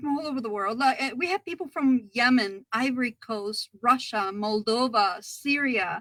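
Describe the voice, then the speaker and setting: In a Spanish accent, a woman speaks at a high pitch with a bright, sharp tone. Her pitch variation is ordinary, and the sound is dry and close with no echo. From Ecuador. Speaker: library ESL coordinator. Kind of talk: interview. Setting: live video stream.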